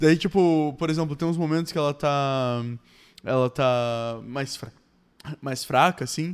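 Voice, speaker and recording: Long, frequent pauses at a fairly slow pace, on a very clean recording with a silent background. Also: man, fairly high pitch for a man, ordinary pitch variation. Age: 20s. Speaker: podcast co-host. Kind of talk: casual chat.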